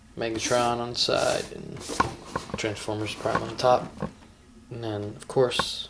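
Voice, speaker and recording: A man's medium-pitched, fairly even-toned speech, broken by long, frequent pauses, against noticeable background noise. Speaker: toy collector video host. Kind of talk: casual toy unboxing vlog. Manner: hesitant, filler-heavy.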